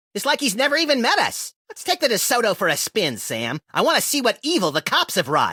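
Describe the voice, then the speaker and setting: A man talks in a cartoonish character voice, pitched extremely high. He hardly pauses at all. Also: fairly quick pace. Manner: wisecracking, gleefully destructive.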